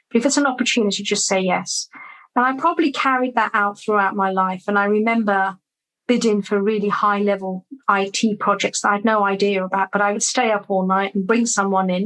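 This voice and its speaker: A woman with a British accent speaks at a medium pitch and a fairly quick pace. Her loudness stays very even. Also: fairly even intonation. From London, England. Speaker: business growth coach. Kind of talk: interview answer.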